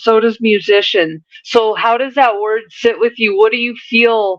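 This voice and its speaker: A woman's fairly high voice at a fairly slow pace, with ordinary pitch variation. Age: 40s. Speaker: spiritual medium. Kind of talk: channeled spiritual reading.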